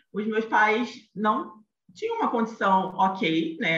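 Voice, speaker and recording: With a Rio de Janeiro accent, a woman speaks with ordinary pitch variation. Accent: carioca (Rio). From Rio de Janeiro, Brazil. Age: 30s. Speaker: image consultant. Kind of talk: podcast interview, telling her career story. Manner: animated.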